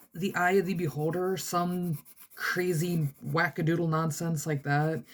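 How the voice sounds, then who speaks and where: A woman speaks in a fairly low pitch. Her voice is somewhat breathy. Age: 20s. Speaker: art vlogger. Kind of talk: casual chat. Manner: animated.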